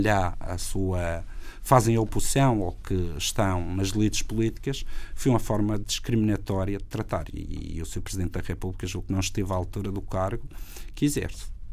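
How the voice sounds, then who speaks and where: A man talks at a moderate pace with ordinary pitch variation. Audible room echo is present. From Madeira, Portugal. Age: 40s. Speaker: regional party leader and politician. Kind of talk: political interview.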